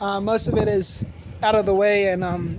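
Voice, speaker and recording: Against noticeable background noise, a woman with an American accent talks in a relaxed tone at a moderate pace, her medium pitch kept monotone and flat. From US city. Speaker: vlogger. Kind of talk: casual vlog monologue. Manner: rambling, relaxed.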